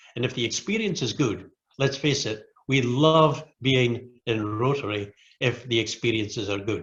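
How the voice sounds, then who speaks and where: A man's somewhat breathy, medium-pitched voice with a British accent, at a moderate pace and with ordinary pitch variation. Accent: British accent, noticeable to Americans. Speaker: Rotary club leader and speaker. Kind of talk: training presentation.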